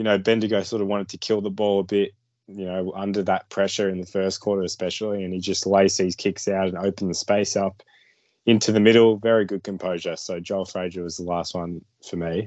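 A man speaks at a very fast pace with a fairly low pitch. His intonation is monotone and flat. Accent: Australian. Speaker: junior football draft podcast co-host. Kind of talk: casual sports analysis chat. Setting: recorded video podcast.

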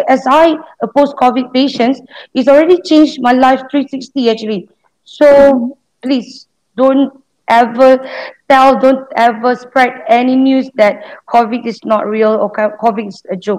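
Speaking fairly slowly with a Malaysian accent, a woman uses a high voice and ordinary pitch variation. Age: 30s. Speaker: COVID survivor, customer service officer. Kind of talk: interview.

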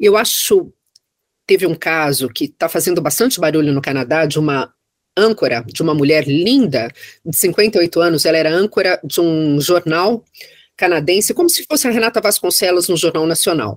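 A woman with a normal speaking voice talks at a moderate pace. Her pitch is fairly low and her intonation lively. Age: 50s. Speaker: federal judge. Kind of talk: casual chat.

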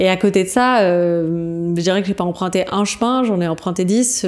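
Here a woman speaks at medium pitch. Her intonation is fairly even. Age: 30s. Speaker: podcaster and coach on burnout. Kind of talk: interview. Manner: hesitant.

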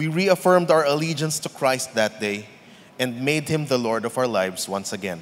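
A man with an ordinary speaking voice and medium pitch talks at a moderate pace with lively intonation. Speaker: church member giving testimony. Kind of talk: testimony.

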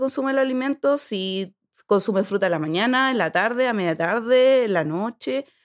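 A woman speaks in a plain, everyday voice, fairly high in pitch, with lively intonation at a fairly quick pace. The recording is very clean, with a silent background. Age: 30s. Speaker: sports nutritionist. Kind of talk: casual chat.

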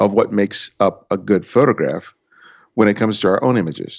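A man talks at a fairly quick pace with a fairly low pitch. His intonation stays fairly even. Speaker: photographer and podcaster. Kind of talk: casual chat.

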